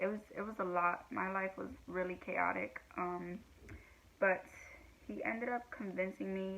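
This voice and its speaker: A woman with a medium pitch speaks in fairly even intonation, leaving long, frequent pauses over noticeable background noise. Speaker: vlogger sharing abuse survivor story. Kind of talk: personal testimony vlog. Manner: halting, many fillers.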